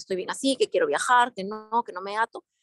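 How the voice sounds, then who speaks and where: A woman talks at a moderate pace. Her voice sounds dry and close, with no echo. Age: 40s. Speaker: participant in a religious study group. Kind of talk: group discussion. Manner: halting.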